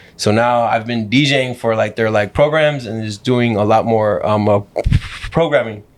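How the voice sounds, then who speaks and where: Against noticeable background noise, a man with an American accent speaks at a moderate pace with fairly even intonation. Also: medium pitch for a man. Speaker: DJ. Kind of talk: casual chat. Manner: halting.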